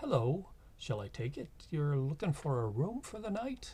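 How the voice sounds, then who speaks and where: Putting on a character voice with a slight Irish accent, a man speaks at a fairly high pitch and a moderate pace, with very wide pitch swings and light background noise. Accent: slight Irish lilt. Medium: actual play. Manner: warm, welcoming.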